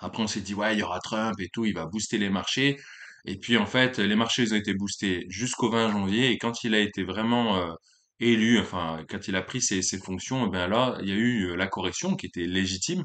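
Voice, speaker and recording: A man speaks with a fairly low pitch and ordinary pitch variation. His pace is moderate. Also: quiet background. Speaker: YouTuber, amateur stock investor. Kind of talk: casual vlog monologue. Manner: hesitant with many fillers.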